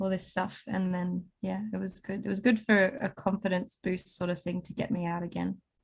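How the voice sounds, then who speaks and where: With an Australian accent, a woman speaks at a moderate pace in a somewhat breathy, medium-pitched voice with fairly even intonation. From Snowy Mountains, New South Wales, Australia. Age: 20s. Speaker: singer-songwriter and paramedic. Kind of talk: interview answer. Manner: casual, chatty.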